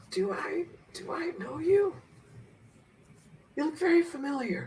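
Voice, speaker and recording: In a put-on character voice, a man speaks at a moderate pace, raspy and hoarse, with an extremely high pitch. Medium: actual play. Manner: weary.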